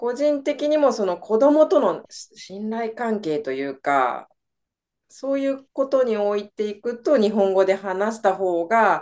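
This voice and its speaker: Her voice fairly high, a woman speaks at a fairly slow pace with very wide pitch swings. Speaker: English teacher and mother of three. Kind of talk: interview.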